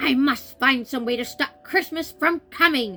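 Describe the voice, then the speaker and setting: A woman growls through a put-on character voice at a moderate pace. Faint music plays in the background. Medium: read story. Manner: growling, sour.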